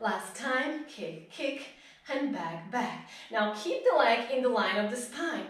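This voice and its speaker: With lively intonation and a fairly slow pace, a woman speaks amid audible room echo. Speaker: pilates instructor. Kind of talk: live-led workout instruction, counting reps and cueing breath. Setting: live stream. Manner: encouraging and upbeat, rhythmic countdowns with frequent praise; directive, short imperative cues paced to movement. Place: home room.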